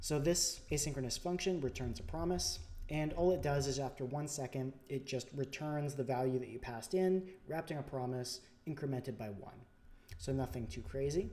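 Soft-spoken and fairly quick, a man talks at a fairly high pitch with a dark, mellow tone. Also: ordinary pitch variation. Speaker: programming tutorial YouTuber. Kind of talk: tutorial. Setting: home recording with new microphone, screen capture. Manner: soft-spoken, somewhat unenthusiastic; informal, explanatory.

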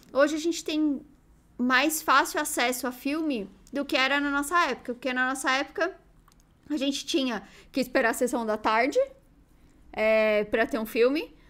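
With long, frequent pauses, a woman speaks at a moderate pace in a high pitch with ordinary pitch variation. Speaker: youtuber. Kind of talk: casual chat. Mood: relaxed, animated. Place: home room. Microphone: studio mic.

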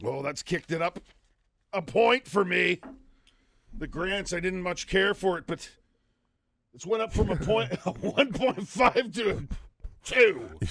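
Doing a put-on character voice, a raspy man speaks high and fairly slowly with lively intonation and long, frequent pauses. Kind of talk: casual, whisky tasting.

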